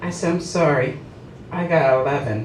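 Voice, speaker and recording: A woman talks with an American accent while music plays in the background. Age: 60s. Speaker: stand-up comedian. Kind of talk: stand-up comedy set at a club. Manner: comedic, conversational.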